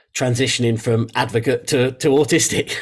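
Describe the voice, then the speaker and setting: A man with an English accent speaks at medium pitch and a moderate pace, with ordinary pitch variation. His voice is somewhat breathy on a very clean recording with a silent background. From England. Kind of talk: interview. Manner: halting, with fillers and repetitions.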